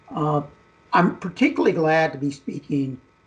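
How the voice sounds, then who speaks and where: The pace of this man's speech is moderate. A somewhat breathy quality marks his voice. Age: 60s. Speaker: geologist and oil and gas entrepreneur. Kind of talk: radio interview.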